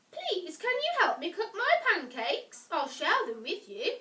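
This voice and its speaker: Doing a squeaky put-on character voice, a woman speaks at an extremely high pitch with very wide pitch swings and a moderate pace. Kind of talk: bedtime story. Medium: read story. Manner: polite, mild.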